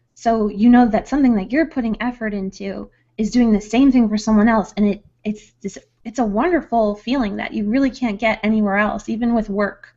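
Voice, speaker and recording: Somewhat breathy and dark, mellow in tone, a woman speaks at a fairly high pitch and fairly quick pace with fairly even intonation. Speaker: ASMR content creator. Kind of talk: interview answer. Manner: soft-spoken, calm.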